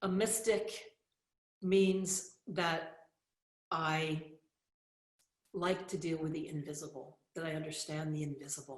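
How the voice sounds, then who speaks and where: A woman speaks fairly slowly at a fairly low pitch, with long, frequent pauses. Her pitch varies in an ordinary way amid audible room echo. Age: 60s. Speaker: spiritual teacher and author. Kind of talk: motivational talk.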